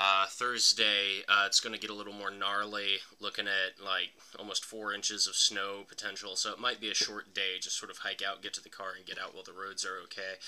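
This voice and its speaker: Talking at a fairly quick pace, a man holds a fairly low pitch with monotone, flat intonation. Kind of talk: casual vlog chat. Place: home room. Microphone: phone near.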